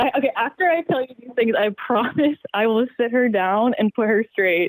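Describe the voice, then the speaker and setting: This woman has a plain, everyday voice, fairly high in pitch, with lively intonation and a moderate pace. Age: 20s. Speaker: caller. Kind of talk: advice call on podcast.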